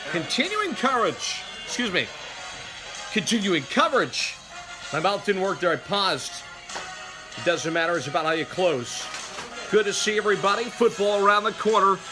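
Over clear background music, a man with a high-pitched, raised and projected voice speaks at a moderate pace with long, frequent pauses. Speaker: amateur mimicking a sports announcer. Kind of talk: sports broadcast announcer read. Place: home room. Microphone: phone near.

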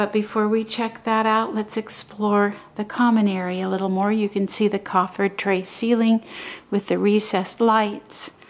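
This woman talks at a moderate pace in a monotone, flat intonation, her loudness very even throughout. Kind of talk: walking property tour narration. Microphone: phone near.

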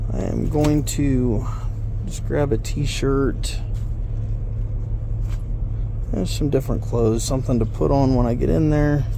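A man speaks with long, frequent pauses in a dry sound with no echo, amid noticeable background noise. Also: fairly slow pace. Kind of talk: casual vlog chat. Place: car. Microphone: phone near.

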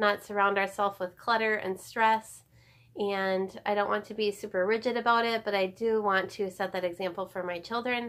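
A woman at a moderate pace with monotone, flat intonation. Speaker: home organizing vlogger. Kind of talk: casual vlog chat. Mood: warm, reflective. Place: home room. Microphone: phone near.

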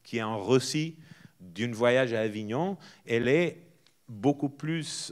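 Over a quiet background, a man with a Portuguese accent talks at a fairly slow pace with lively intonation. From northern Portugal. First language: Portuguese (speaking French). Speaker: festival director and theatre artist; guest. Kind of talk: public talk. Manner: informal, hesitant with fillers. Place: stage. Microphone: handheld.

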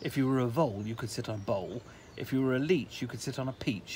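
This is plain reading aloud. Nothing else stands out in the delivery.

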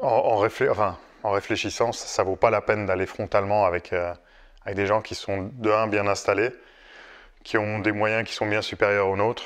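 A man's fairly low, monotone, flat voice at a moderate pace against a quiet background. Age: 40s. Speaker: company founder; guest. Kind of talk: casual chat. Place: home room.

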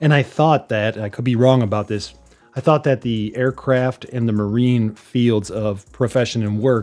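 A man's voice with fairly even intonation, faint music in the background. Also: moderate pace. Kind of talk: tutorial. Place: home room.

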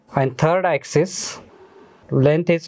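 The speaker is a man. He keeps to a moderate tempo. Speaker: engineering lecturer. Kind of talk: lecture.

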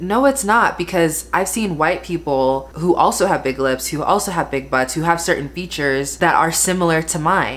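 At a moderate pace, a woman speaks with a fairly low pitch. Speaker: beauty vlogger. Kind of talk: casual vlog chat. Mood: frustrated, emphatic. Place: home room. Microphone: phone near.

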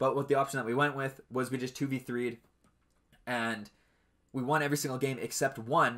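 A man speaks at a moderate pace with long, frequent pauses and a bright, sharp tone. His intonation is monotone and flat, over a quiet background. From Canada. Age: 20s. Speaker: podcast host and esports team owner; podcast host. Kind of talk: casual solo podcast talk. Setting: home webcam stream setup. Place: home room. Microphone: webcam recording, not a studio.

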